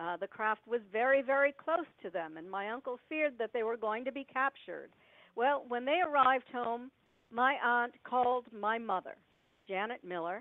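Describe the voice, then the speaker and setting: A high-pitched woman's voice with lively intonation at a moderate pace. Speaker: UFO researcher and author. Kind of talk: interview storytelling. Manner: quiet, hard to hear.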